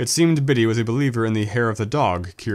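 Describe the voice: Plain reading aloud with ordinary pitch variation is heard here.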